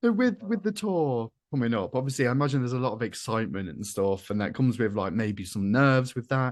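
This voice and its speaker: Against a quiet background, a man with a British accent talks at a very fast pace with lively intonation. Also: medium pitch for a man. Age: 30s. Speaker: podcast host. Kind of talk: casual chat.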